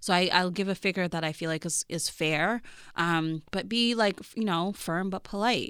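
A woman's normal speaking voice at a medium pitch, with ordinary pitch variation and a moderate pace. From Canada. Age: 30s. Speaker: journalist and author. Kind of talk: interview conversation.

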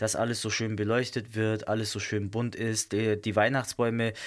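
The man's tone is animated. Nothing can be heard in the background of this very clean recording. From southern Germany. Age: 30s. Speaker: podcast host. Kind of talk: casual solo monologue.

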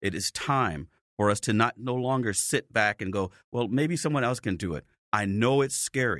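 A man with an American accent and a plain, everyday voice speaks at a medium pitch and moderate pace with lively intonation, in a dry, close sound with no echo on a very clean recording with a silent background. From Chicago, South Side. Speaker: police officer and political candidate. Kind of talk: interview. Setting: studio.

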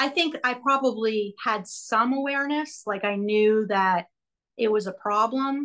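Over a quiet background, a woman speaks fairly slowly at a fairly high pitch with ordinary pitch variation, in a plain, everyday voice. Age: 40s. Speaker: helping professional working with children, podcast guest. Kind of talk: personal testimony in a coaching session.

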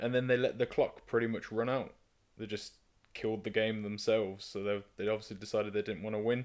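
A man's fairly low voice with a British accent and monotone, flat intonation. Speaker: podcast co-host. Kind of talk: casual chat.

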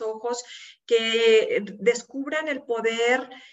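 Fairly even intonation in a woman's high voice. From Mexico, Monterrey (Nuevo León). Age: 50s. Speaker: support group founder. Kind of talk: interview.

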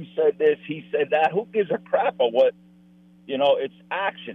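A man with an American accent speaks at a moderate pace in an ordinary speaking voice with lively intonation. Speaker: caller. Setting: phone call.

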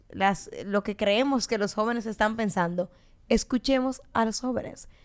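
It is an ordinary speaking voice, from a woman with a fairly high pitch and ordinary pitch variation. The recording is very clean, with a silent background. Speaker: political podcast co-host, party member. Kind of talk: casual political discussion.

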